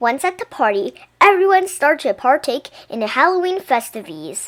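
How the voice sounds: Lively intonation at a moderate pace, with a fairly bright tone. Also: woman.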